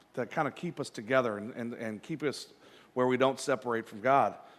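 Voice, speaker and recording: Fairly quick delivery from a man, medium in pitch. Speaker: pastor. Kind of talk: sermon. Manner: loud; halting.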